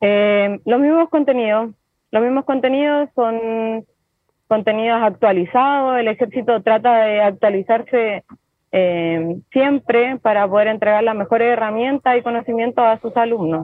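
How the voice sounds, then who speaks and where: Ordinary pitch variation and a fairly slow pace in a plain, everyday voice. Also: woman, fairly high pitch for a woman. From Chile (Rengo). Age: 30s. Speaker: farrier. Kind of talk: interview. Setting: phone or video call from an airport.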